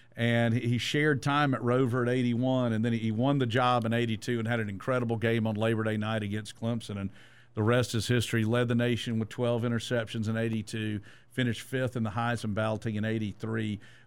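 He speaks at a very fast pace in a Georgia accent. His medium-pitched voice stays monotone and flat. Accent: Southern American (Georgia). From Georgia (Statesboro), US South. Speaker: sports radio host. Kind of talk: casual sports chat.

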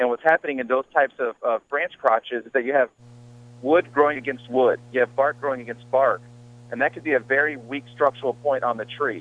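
A man with an American accent speaks at a medium pitch with fairly even intonation in a normal speaking voice. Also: fairly quick pace. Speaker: caller, arborist. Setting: phone call.

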